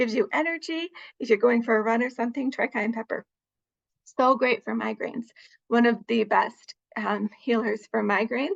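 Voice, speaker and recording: A woman speaks at a fairly high pitch with vocal fry and ordinary pitch variation. The sound is dry and close, with no echo. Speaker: master herbalist. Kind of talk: presentation with Q&A. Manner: fast.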